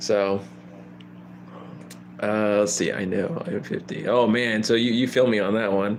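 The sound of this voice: A man speaks at a fairly slow pace. His pitch is fairly low and his intonation fairly even.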